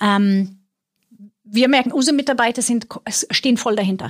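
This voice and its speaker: A somewhat breathy woman with a Swedish accent, ordinary pitch variation, and a very clean recording over a silent background. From Sweden. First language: Swedish (speaking German). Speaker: IT executive. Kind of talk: interview. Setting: studio.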